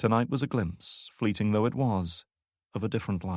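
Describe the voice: This is plain reading aloud with ordinary pitch variation. Behind it, the background stays quiet.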